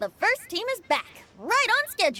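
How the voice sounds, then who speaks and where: This is a put-on character voice with an extremely high pitch. The pace is moderate. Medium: video game. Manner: cheerful, encouraging.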